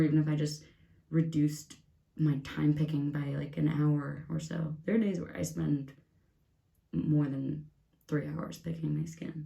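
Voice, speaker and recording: A soft-spoken woman talks in a very deep, low pitch with a dark, mellow tone. Her voice is somewhat breathy, and there is audible room echo. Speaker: beauty vlogger. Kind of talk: casual get-ready-with-me vlog. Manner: quiet, soft-spoken.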